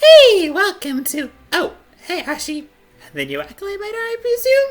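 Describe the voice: A female-sounding put-on character voice speaks at a moderate pace, extremely high in pitch with very wide pitch swings. Faint music plays in the background.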